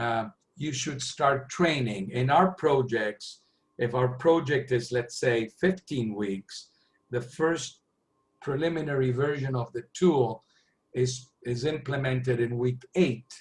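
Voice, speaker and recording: The man's voice sits at a medium pitch and is somewhat breathy. He speaks at a very slow pace. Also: ordinary pitch variation. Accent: Spanish. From Argentina. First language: Spanish. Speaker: planning software consultant. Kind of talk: webinar Q&A. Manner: halting.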